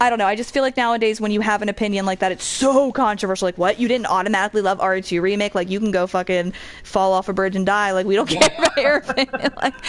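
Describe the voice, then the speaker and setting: A woman talks at a very fast pace and medium pitch. Noticeable background noise can be heard. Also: ordinary pitch variation, hardly any pauses. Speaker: video game streamer. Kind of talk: casual chat during a live let's play.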